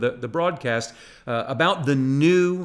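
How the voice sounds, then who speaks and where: Pitch varies in an ordinary way as the words come at a moderate pace. Behind them, the background stays quiet. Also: man. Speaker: pastor. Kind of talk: sermon.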